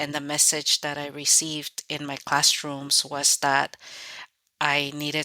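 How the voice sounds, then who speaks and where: Speaking in a Spanish accent at a moderate pace, a woman has a very deep, low pitch and a bright, sharp tone. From Mexico (Guerrero), raised in California from age ~10. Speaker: author. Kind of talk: interview.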